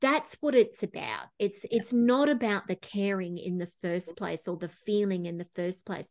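A woman's unremarkable speaking voice, medium in pitch with ordinary pitch variation, at a moderate pace with hardly any pauses, against a quiet background. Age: 50s. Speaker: psychotherapist and life coach. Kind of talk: interview.

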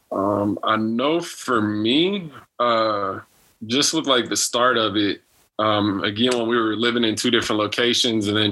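At a fairly slow pace, a man with an unremarkable speaking voice talks at medium pitch with fairly even intonation. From Texas. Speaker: spouse of a medical trainee. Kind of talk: casual chat.

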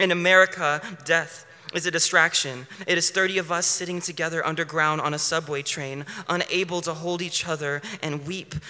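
With noticeable noise behind him, a man talks at a moderate pace in a high pitch, his intonation monotone and flat. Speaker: poet performing at open mic. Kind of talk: spoken word poetry performance.

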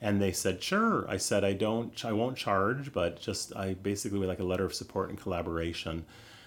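Talking at a fairly quick pace with hardly any pauses, a man has an unremarkable speaking voice, a fairly low pitch and fairly even intonation. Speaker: caregiver burnout educator and speaker. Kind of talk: interview conversation.

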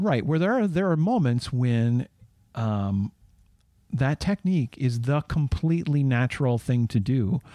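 A man with medium pitch and a dark, mellow tone talks at a fairly slow pace. His intonation is lively. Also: dry, close sound with no echo, very clean recording, silent background. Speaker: podcast co-host. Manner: hesitant, filler-heavy.

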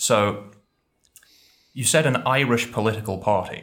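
A man with an English accent speaks at a moderate pace in a fairly low voice with fairly even intonation. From England. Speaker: YouTuber, conlang creator. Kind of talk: casual chat, pub quiz.

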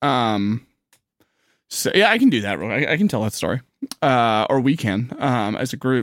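At a moderate pace and medium pitch, a man talks with lively intonation and long, frequent pauses. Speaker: podcast host. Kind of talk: casual banter. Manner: animated, intro like a circus barker.

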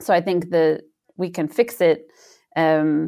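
A woman with a West Coast US accent is heard on a very clean recording with a silent background. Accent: General American (West Coast). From US, Northern California (Sonoma). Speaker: sustainability scientist, professor. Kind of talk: interview.

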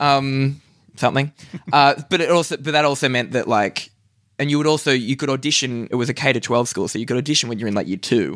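Someone speaks at a very fast pace in an Australian accent. The pitch shows ordinary variation, and the recording is very clean with a silent background. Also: man, medium pitch for a man. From Australia, Newcastle NSW. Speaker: stand-up comedian. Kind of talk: casual chat. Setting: hotel room.

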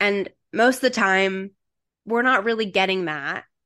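Against a quiet background, an unremarkable speaking voice talks at a fairly slow pace. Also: woman. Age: 30s. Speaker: podcast host and trauma-informed coach. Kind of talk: casual chat.

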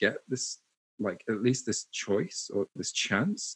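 A man with a British accent speaks with ordinary pitch variation, the sound dry and close with no echo on a very clean recording with a silent background. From UK. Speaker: internet pioneer and marketer. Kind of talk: casual interview. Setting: studio.

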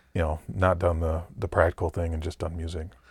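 Somewhat breathy and very deep and low in pitch, a man talks very fast on a very clean recording with a silent background. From Michigan, US Midwest. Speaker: jazz organist. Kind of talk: casual interview chat.

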